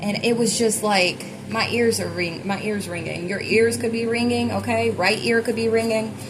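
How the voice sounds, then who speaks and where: With audible room echo and noticeable background noise, a woman speaks at a medium pitch with fairly even intonation. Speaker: tarot reader. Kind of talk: collective tarot reading. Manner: fast; casual, filler-heavy.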